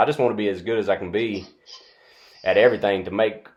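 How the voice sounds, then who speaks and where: With a North Carolina accent, a man talks at a fairly quick pace. His pitch is fairly low. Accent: Southern US (North Carolina). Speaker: music student and interviewer. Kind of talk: interview. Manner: halting.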